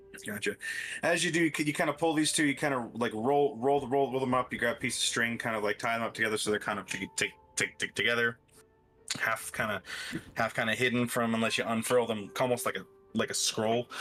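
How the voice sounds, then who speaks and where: Music plays in the background as a man of medium pitch speaks. His pace is fairly quick and his pitch varies in an ordinary way. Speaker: tabletop game master. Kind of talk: tabletop role-play narration. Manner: halting, many fillers.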